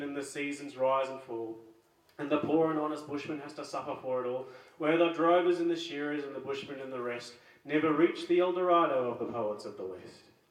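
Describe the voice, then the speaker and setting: Speaking at a fairly quick pace with an Australian accent, a man uses a fairly high pitch with ordinary pitch variation and big swings in loudness. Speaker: open mic host. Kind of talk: poetry reading.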